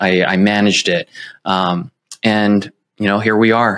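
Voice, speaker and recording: Speaking with an American accent in a normal speaking voice, the talker keeps a fairly slow pace and fairly even intonation over a quiet background. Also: man. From San Francisco, California. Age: 30s. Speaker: real estate agent. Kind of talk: interview. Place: home room. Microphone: earbuds.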